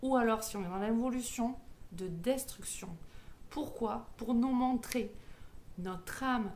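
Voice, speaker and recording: A woman's very slow, fairly high-pitched speech in a southwestern French accent, long, frequent pauses, audible room echo. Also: ordinary pitch variation. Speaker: medium and numerologist. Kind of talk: spiritual teaching monologue. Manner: hesitant, many fillers.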